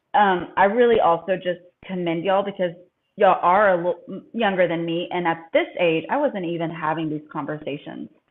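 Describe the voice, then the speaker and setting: This woman has a normal speaking voice with a fairly low pitch. Her pitch variation is ordinary. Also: fairly quick pace. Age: 40s. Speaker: podcast host. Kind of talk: casual chat.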